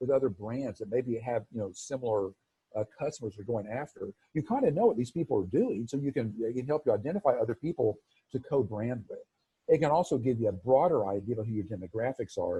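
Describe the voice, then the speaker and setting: A man's medium-pitched, somewhat breathy voice with a dark, mellow tone, ordinary pitch variation, a very fast pace and a dry, close sound free of echo. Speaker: marketing agency presenter. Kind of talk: webinar presentation. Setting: video call.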